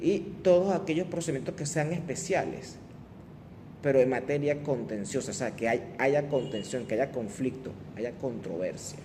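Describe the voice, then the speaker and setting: A man with a fairly high pitch speaks at a moderate pace with lively intonation. Audible room echo surrounds his voice. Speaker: law lecturer. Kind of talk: lecture.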